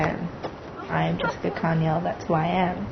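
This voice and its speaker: A woman speaks at a fairly low pitch. There is audible room echo and noticeable background noise. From Australia. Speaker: interviewee. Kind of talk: interview.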